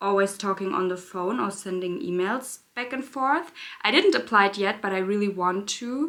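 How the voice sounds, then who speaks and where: This woman has a German accent and a medium pitch. She speaks at a moderate pace. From Germany, Berlin. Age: 20s. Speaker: beauty YouTuber. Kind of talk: casual chat. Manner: halting.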